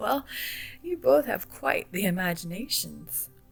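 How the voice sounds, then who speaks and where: A put-on character voice, guttural and middle-pitched, goes at a fairly slow pace. Faint music plays in the background. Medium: read story. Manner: slow, soft-spoken.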